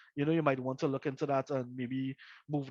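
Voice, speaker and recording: The speaker is a man with a fairly high pitch. He talks very fast in a flat, monotone way. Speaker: career services workshop presenter. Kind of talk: online workshop presentation.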